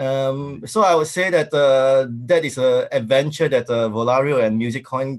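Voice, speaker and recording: Speaking with a Singaporean accent, a man uses a medium pitch and ordinary pitch variation. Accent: Singaporean English (Singlish). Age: 40s. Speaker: tech company founder. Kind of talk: interview. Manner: hesitant, many fillers.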